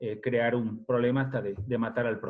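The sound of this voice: A man speaks at a moderate pace. His pitch sits in the medium range.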